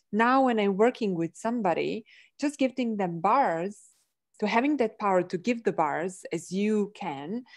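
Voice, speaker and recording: With a non-native accent, a woman talks at a moderate pace with lively intonation. The background is quiet. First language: not English. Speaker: energy healing practitioner. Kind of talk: casual chat. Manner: animated.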